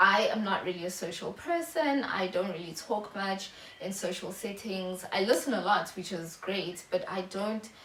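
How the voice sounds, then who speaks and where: In a room with audible echo, a woman speaks at a medium pitch and a moderate pace with ordinary pitch variation. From South Africa. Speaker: YouTuber. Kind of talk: casual vlog monologue. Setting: home video recording, natural lighting. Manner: halting, many fillers.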